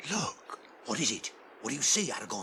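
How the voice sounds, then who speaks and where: A put-on character voice moves at a fairly quick pace against clear background noise. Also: man. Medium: audio drama.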